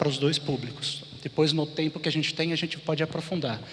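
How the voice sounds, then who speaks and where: A man speaks at a moderate pace in a plain, everyday voice. His pitch sits fairly high. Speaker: conference speaker, design thinking consultant. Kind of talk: conference talk.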